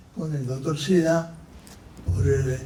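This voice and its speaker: A man's fairly high-pitched voice with audible room echo and noticeable background noise. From Argentina, Santa Fe province (Venado Tuerto). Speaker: panelist. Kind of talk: conference panel talk.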